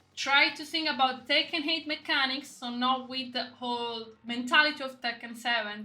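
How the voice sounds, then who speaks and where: Her raised, projected voice sits high in pitch with ordinary pitch variation. The woman keeps a moderate pace. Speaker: gaming content creator. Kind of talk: casual commentary to camera. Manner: halting.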